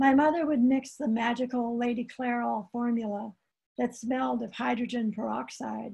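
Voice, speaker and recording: A dark, mellow tone comes through at a fairly slow pace against a quiet background. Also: woman. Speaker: poet. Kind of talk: poetry reading. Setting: video call. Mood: calm, reflective memoir tone. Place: home room. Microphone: video call.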